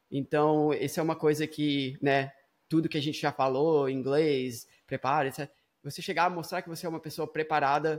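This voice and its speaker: Fairly even in intonation, a man talks at a moderate pace in a very clean recording with a silent background. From Brazil, Espírito Santo; US from about age 8-9. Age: 30s. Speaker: startup founder and CEO. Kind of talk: casual chat. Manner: hesitant, frequent fillers and repetitions.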